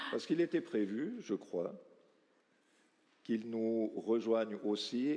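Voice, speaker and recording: A man speaks very slowly in a strong Valais accent. His tone is dark and mellow. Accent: Valais Swiss French accent, strong. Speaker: round table moderator. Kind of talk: panel discussion moderation.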